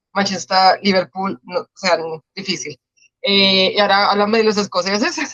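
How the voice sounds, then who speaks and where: A woman speaks in a Colombian accent at medium pitch and a moderate pace. Her tone is bright and sharp, the sound dry and close with no echo. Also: ordinary pitch variation. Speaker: podcast host. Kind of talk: interview.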